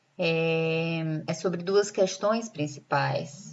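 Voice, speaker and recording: A woman speaks in a northeastern Brazilian accent. Her pitch is fairly low and her intonation fairly even. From Brazil, Northeast. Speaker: lecturer. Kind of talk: lecture.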